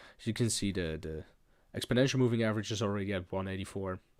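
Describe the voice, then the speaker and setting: A man with a strong Dutch accent and fairly even intonation, on a very clean recording with a silent background. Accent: thick Dutch. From Netherlands. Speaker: crypto trader streamer. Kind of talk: live trading tutorial. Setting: live stream. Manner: hesitant with fillers.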